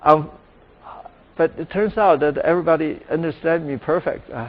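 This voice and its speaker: A man with a Chinese accent, fairly high-pitched, at a moderate pace with ordinary pitch variation and long, frequent pauses. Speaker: professor. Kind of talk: lecture Q&A.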